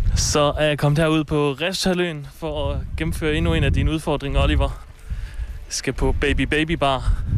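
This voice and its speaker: Moderate-paced speech from a man, with noticeable background noise. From Ikast, Jutland, Denmark. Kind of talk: field report; casual chat.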